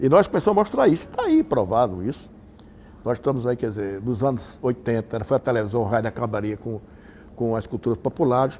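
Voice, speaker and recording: Speaking at a very fast pace, a man with a medium pitch and a dark, mellow tone uses ordinary pitch variation. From Patos, Paraíba, Brazil. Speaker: communication researcher, university professor. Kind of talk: interview answer.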